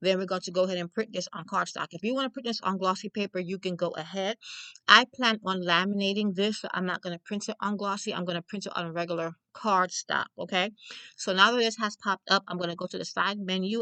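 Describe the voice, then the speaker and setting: With a New York accent, a woman talks at a fairly quick pace at a medium pitch, her tone bright and sharp and her intonation fairly even, in a dry, close sound with no echo. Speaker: crafter and small business owner. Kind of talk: tutorial. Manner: fast; casual, chatty.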